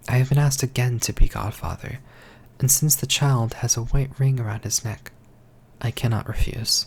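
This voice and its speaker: The speaker is soft-spoken and keeps a moderate pace. Long, frequent pauses break up the speech. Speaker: ASMR storyteller. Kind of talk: fairy tale reading.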